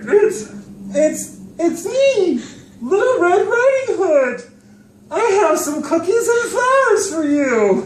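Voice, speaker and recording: This put-on character voice is squeaky and extremely high, with very wide pitch swings. It moves at a very slow pace, and there is slight echo. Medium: stage play. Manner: smooth, fake-friendly.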